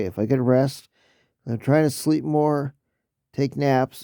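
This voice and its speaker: A man talks with a dark, mellow tone at a fairly slow pace. The recording is very clean, with a silent background. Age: 60s. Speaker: YouTube vlogger. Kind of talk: casual chat. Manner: halting.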